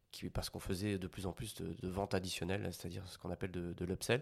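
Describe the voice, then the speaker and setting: This man's voice is very deep and low. The recording is very clean, and the background is silent. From Belgium. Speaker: sales manager. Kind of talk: interview. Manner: halting, many fillers and repetitions.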